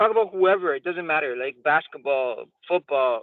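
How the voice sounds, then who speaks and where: Speaking in a Spanish accent, a man uses a fairly high pitch, ordinary pitch variation and a fairly quick pace. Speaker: software salesperson and mentor. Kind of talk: mentorship training talk.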